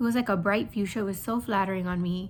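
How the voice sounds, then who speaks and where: Quiet and lively in intonation, a woman speaks at a medium pitch. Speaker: beauty YouTuber. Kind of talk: casual chat while doing makeup. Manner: hesitant, many fillers.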